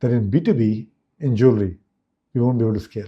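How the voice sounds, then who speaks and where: Somewhat breathy, a man speaks at a very fast pace with a medium pitch and ordinary pitch variation. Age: 60s. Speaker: business executive. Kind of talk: interview.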